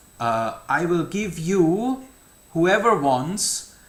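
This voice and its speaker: A man with a German accent speaks in a high pitch at a very slow pace, his pitch swinging very widely. Room echo is audible. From Germany. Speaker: numerology channel host. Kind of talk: monologue to camera. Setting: outdoors. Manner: halting, with fillers and repetitions.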